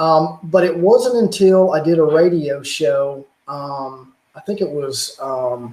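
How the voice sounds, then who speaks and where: Lively intonation marks a man speaking with a Southern US accent. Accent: Southern drawl. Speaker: YouTuber on religion and technology. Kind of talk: casual chat.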